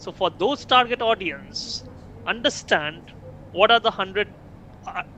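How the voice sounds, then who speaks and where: Here a man speaks with a Bengali accent. His voice is high and his pace is moderate. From India, Kolkata, West Bengal. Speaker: invited speaker on AI and entrepreneurship. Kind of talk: lecture. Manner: repetitive false starts.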